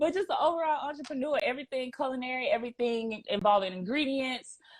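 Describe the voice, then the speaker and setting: Speaking very fast in a strong Southern US accent, a woman with a high voice sounds energetic, her intonation lively. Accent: Southern US, thick. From US South. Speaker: private chef and entrepreneur. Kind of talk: casual interview chat.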